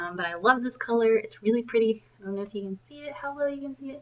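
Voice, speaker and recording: Her pitch shows ordinary variation. A woman is talking with an American accent. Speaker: independent sales consultant. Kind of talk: tutorial. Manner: hesitant, many ums.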